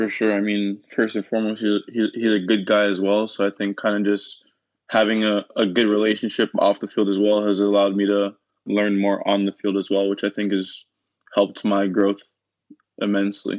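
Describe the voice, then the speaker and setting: A man speaks at a moderate pace with a Canadian accent and a fairly low pitch. His intonation is monotone and flat. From Canada, Toronto area. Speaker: professional goalkeeper. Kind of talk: interview.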